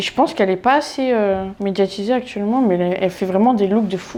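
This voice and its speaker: A woman's medium-pitched voice with lively intonation, a fairly quick pace and hardly any pauses. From France, Orléans. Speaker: fashion influencer. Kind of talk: casual quiz interview. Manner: animated.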